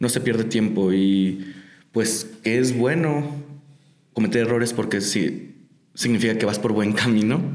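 A man speaks at a fairly slow pace with very even loudness and long, frequent pauses. Room echo is audible. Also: medium pitch for a man, ordinary pitch variation. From Mexico, Tijuana. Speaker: lettering artist and muralist. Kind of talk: interview. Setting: studio.

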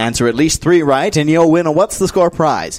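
In a normal speaking voice, the speaker moves at a fairly quick pace with lively intonation. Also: man. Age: 20s. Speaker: quiz master. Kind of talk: game show hosting. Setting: studio.

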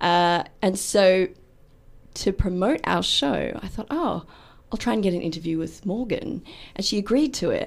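With an Australian accent, a woman talks at a moderate pace in a medium pitch, her voice showing vocal fry and big swings in loudness, on a very clean recording with a silent background. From Australia, Melbourne. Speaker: actor and hypnotherapist. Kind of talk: radio interview. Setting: radio studio.

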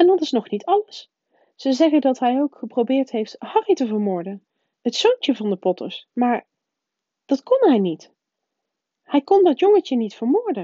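A female-sounding, shaky voice in a high pitch performs a put-on character voice with very wide pitch swings and long, frequent pauses. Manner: shaken, upset.

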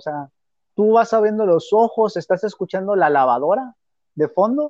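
The sound is dry and close, with no echo. The pace is moderate. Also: man, quiet background. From Mexico. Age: 20s. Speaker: podcast co-host. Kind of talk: casual chat.

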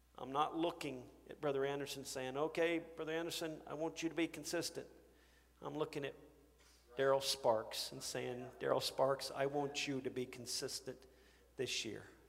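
This is a normal speaking voice. It keeps a moderate pace and fairly even intonation. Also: man, fairly high pitch for a man. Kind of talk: sermon. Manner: earnest, pointed, exhorting the congregation with repeated direct appeals.

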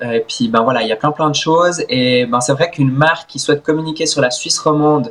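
This man talks at a fairly quick pace in an ordinary speaking voice, pitched fairly high, with ordinary pitch variation. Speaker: swimmer and content creator. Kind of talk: interview.

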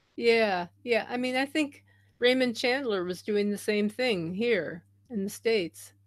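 A woman's fairly high pitch at a fairly slow pace, an ordinary speaking voice. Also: ordinary pitch variation. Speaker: podcast host. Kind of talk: casual interview chat. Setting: remote call.

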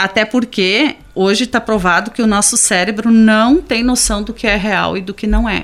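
Moderate speed and ordinary pitch variation in an unremarkable speaking voice. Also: woman, fairly high pitch for a woman. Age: 50s. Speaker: special education teacher. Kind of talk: radio interview.

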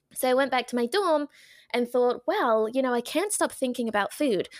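In an English accent, a woman with a high pitch speaks at a fairly quick pace with lively intonation and an animated tone, the sound dry and close with no echo in a very clean recording over a silent background. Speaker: dietitian and retired athlete. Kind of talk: casual interview.

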